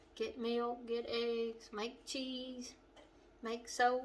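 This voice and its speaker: A woman's fairly high voice in a monotone, flat intonation, with noticeable background noise. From western Kentucky. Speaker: home cooking channel host. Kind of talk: cooking tutorial. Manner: relaxed, conversational.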